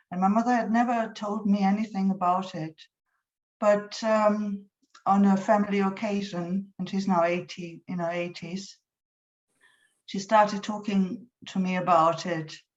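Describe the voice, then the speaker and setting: In a German accent, a woman talks at a fairly slow pace in a somewhat breathy, monotone voice with flat intonation. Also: medium pitch for a woman. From Germany. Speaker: poet. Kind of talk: poetry reading with introductions. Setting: online event. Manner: halting, many fillers.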